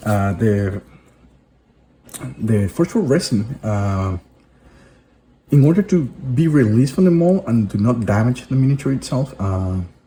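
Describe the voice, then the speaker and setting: A man speaks at a fairly slow pace and a medium pitch, with long, frequent pauses. His somewhat breathy voice has a dark, mellow tone and very wide pitch swings. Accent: Spanish. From Venezuela. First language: Spanish. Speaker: hobby video host. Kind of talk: tutorial. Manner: halting, with fillers and restarts.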